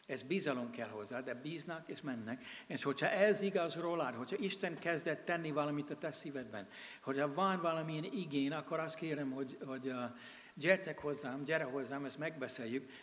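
A man talks at a fairly quick pace in a fairly high voice with ordinary pitch variation. Audible room echo surrounds his speech. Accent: American. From USA. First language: English (speaking Hungarian). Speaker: missionary. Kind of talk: sermon. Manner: halting.

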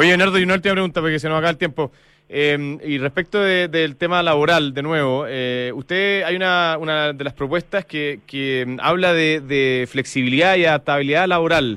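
Hardly pausing at all, a man with a fairly high pitch and ordinary pitch variation keeps a moderate pace. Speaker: radio host. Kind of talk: radio interview. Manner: halting.

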